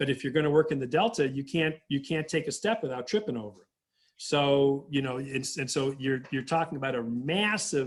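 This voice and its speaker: A man's ordinary speaking voice, fairly high-pitched, at a fairly quick pace with ordinary pitch variation. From southern California. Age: 60s. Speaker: government agency director. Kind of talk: interview.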